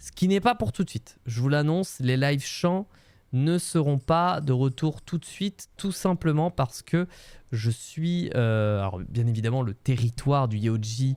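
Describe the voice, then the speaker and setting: The recording is very clean with a silent background. A man with a fairly high voice speaks fairly slowly with lively intonation. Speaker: Twitch streamer. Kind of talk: casual livestream chat. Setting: home room, livestream. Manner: many filler hesitations.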